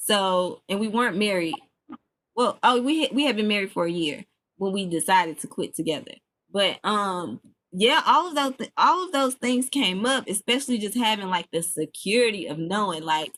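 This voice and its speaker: In a very clean recording with a silent background, a woman with an American accent uses an unremarkable speaking voice at medium pitch, moderate pace and lively intonation. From US South (Memphis) / Chicago. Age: 20s. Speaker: podcast host and entrepreneur. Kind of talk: casual talk to an audience. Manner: casual, with many fillers and restarts.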